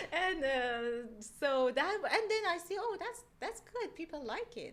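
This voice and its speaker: Speaking with a non-native accent at a fairly slow pace, a woman uses an extremely high pitch with very wide swings, over noticeable background noise. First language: not English. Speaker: loan officer. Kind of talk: casual chat. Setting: recorded video podcast. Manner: halting.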